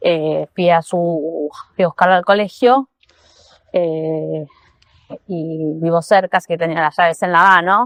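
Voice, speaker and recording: The woman's fairly low pitch varies in an ordinary way. She speaks very slowly with long, frequent pauses in a dry, close sound with no echo. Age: 50s. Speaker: listener sending voice message. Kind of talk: anecdote.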